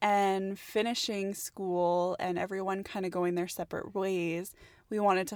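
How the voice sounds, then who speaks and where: A woman with a Canadian accent talks at a moderate pace and a medium pitch, in an unremarkable speaking voice. The recording is very clean, with a silent background. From Canada, Edmonton, Alberta. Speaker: industrial designer, podcast co-host. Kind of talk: casual chat.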